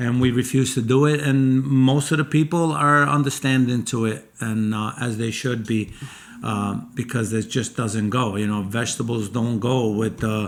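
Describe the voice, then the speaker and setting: This man has a normal speaking voice with an American accent, a medium pitch, ordinary pitch variation and a moderate pace. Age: 60s. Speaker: chef and restaurant owner. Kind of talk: casual chat.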